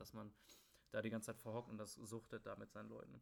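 A man talks at a very fast pace with a bright, sharp tone. His medium-pitched voice has vocal fry. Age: 20s. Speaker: podcast host, student. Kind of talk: casual chat. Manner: halting, many filler words.

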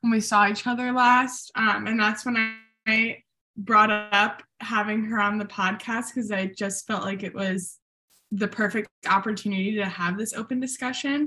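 A normal speaking voice from a woman, moderate in pace, with fairly even intonation. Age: 20s. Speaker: podcast researcher. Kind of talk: casual discussion.

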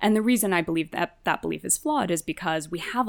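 Speaking at a very fast pace with a New Jersey accent, a woman shows ordinary pitch variation in a very clean recording with a silent background. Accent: American (New Jersey). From US, New Jersey. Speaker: counter-extremism tech founder. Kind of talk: interview conversation.

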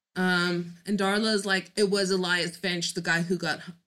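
A woman speaks at a medium pitch with a bright, sharp tone. Her pace is fairly slow. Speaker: podcast co-host. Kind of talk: casual chat recapping a TV episode.

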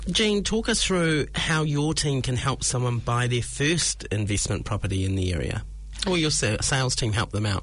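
With a New Zealand accent, a man talks at a moderate pace. His loudness stays very even. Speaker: podcast host. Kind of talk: casual interview chat. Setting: studio.

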